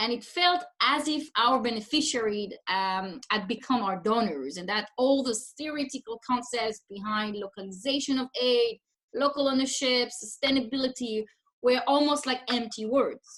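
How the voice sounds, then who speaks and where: A woman with a French accent speaks at a moderate pace in a high voice, with ordinary pitch variation. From France. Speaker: humanitarian development consultant. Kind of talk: webinar presentation. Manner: hesitant with fillers.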